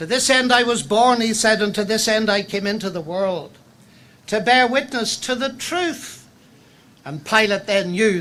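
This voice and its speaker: Someone speaks at a fairly slow pace in a Northern Irish accent. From Northern Ireland. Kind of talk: public lecture. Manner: formal.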